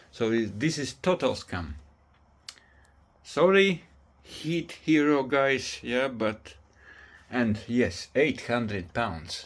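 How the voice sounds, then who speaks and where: A man at a medium pitch with very wide pitch swings, a very slow pace, and long, frequent pauses, in a very clean recording with a silent background. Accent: non-native. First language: not English. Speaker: DIY homeowner reviewing a product. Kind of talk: casual video review. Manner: halting.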